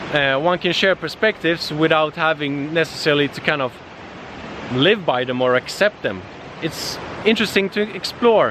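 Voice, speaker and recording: A man speaks at a moderate pace and fairly high pitch. His intonation is lively, with noticeable background noise behind him. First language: not English. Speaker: vlogger, digital nomad. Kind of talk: casual outdoor vlog monologue. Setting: outdoors in nature. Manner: halting, many fillers.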